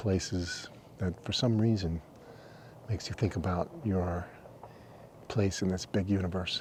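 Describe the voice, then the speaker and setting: Soft-spoken, a man with a very deep, low pitch talks at a fairly slow pace. His intonation is fairly even, with long, frequent pauses. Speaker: travel vlogger. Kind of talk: casual vlog narration.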